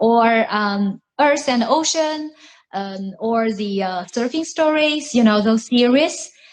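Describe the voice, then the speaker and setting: The voice has lively intonation and moves at a very slow pace. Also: woman, fairly high pitch for a woman. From China, Shanghai. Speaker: interview host. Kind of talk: interview.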